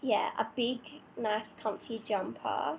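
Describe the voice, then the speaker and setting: A woman's voice with an Australian accent. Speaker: vlogger. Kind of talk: casual vlog tutorial. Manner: hesitant, many fillers.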